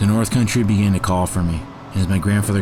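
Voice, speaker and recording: A man talking at a very fast pace, with audible room echo and noticeable background noise. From northern New Hampshire. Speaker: grandson of ski store owner. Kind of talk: documentary narration.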